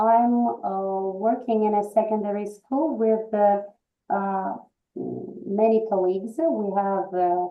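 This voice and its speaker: Over music in the background, a woman with a medium-pitched voice talks at a very slow pace with fairly even intonation. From Russia. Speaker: English teacher. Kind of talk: presentation. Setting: video call. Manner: halting.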